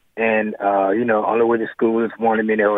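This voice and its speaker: Over noticeable background noise, a man talks very fast in a fairly low, flat monotone. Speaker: radio caller, father. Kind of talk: call-in testimony. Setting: phone call.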